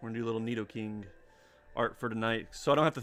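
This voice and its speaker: Very fast male speech over background music. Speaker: digital artist streamer. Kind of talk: casual chat livestream. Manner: casual, filler-heavy.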